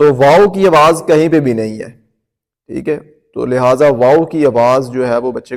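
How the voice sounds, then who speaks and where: Using an ordinary speaking voice, a man talks in a medium pitch with ordinary pitch variation. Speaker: Quran teacher. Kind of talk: tutorial.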